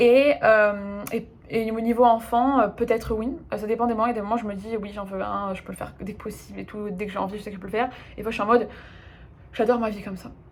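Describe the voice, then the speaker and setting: A woman talks at a very fast pace in a fairly high pitch, her intonation fairly even. Her loudness swings widely. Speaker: life coach. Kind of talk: casual Q&A video monologue. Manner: hesitant, many fillers.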